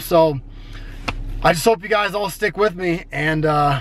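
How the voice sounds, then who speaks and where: High male voice amid noticeable background noise. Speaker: fitness vlogger. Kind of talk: casual vlog. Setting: home bedroom.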